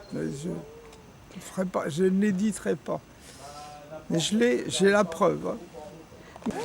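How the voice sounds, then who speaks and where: Against noticeable background noise, a man speaks very slowly with long, frequent pauses, a high pitch and ordinary pitch variation. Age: 90s. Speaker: former resistance member and activist. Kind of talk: interview. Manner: halting.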